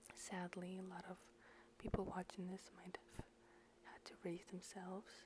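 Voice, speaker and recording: Someone whispers at a moderate pace. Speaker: personal vlogger. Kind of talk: personal advice talk. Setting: at home at night, others sleeping.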